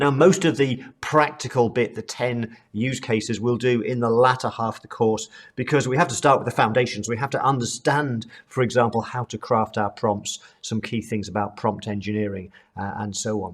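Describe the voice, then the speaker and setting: Speaking at a moderate pace, a man with a British accent has a medium-pitched voice. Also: ordinary pitch variation. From UK. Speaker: accounting trainer. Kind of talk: online course lecture.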